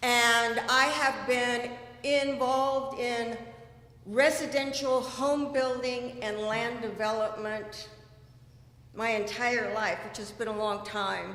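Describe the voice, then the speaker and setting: In an American accent, a woman speaks very slowly at a high pitch with fairly even intonation, and audible room echo surrounds her voice. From California. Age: 60s. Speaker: election candidate. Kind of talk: candidate speech at town hall. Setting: community meeting.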